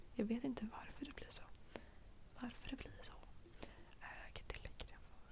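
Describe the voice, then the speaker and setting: At a moderate pace, a woman delivers her words in a whisper. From Stockholm, Sweden. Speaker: ASMR youtuber. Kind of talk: ASMR rambling chat. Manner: soft-spoken; hesitant, many fillers.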